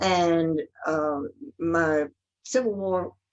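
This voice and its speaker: This is a woman with a Southern US accent. Her voice is fairly low-pitched. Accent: Southern US (Georgia). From US South, Georgia (Athens and Atlanta). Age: 80s+. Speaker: church member. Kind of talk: interview.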